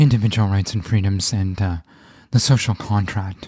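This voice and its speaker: A man's fairly low, somewhat breathy voice at a moderate pace, on a very clean recording with a silent background. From Canada. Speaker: podcast host. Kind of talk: scripted intro; podcast interview.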